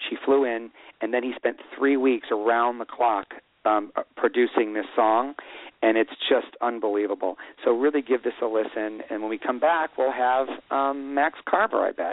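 This man has a normal speaking voice at a medium pitch. He speaks at a moderate pace with fairly even intonation. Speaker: writer-director. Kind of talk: radio interview, casual chat.

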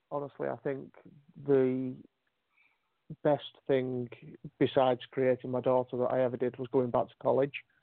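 The speaker has a British accent and a monotone, flat intonation. Long pauses come often. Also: man, medium pitch for a man, moderate pace. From UK. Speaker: caller, poet. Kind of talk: spoken word performance. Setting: phone call.

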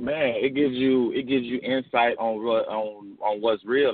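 A man speaks with a Memphis accent in a medium pitch. His pace is moderate. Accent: Southern US (Memphis). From Memphis, Tennessee. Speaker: indie recording artist. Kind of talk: interview. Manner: casual, relaxed.

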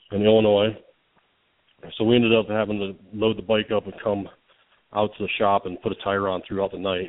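A fairly low-voiced man with an American accent talks at a fairly quick pace in a flat monotone. He leaves long, frequent pauses. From Florida Gulf Coast (Bradenton). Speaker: custom motorcycle builder. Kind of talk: casual interview.

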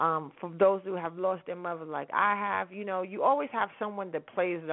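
Speaking at a moderate pace, a woman with an American accent has an animated tone. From New York, Harlem. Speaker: internet radio host. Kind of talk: casual radio show talk with music.

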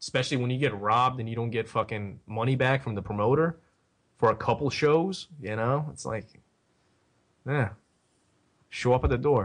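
This man with an American accent has a medium-pitched voice with ordinary pitch variation, speaking at a moderate pace with long, frequent pauses over a quiet background. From Philadelphia, US. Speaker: wrestling podcast co-host. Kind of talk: casual chat.

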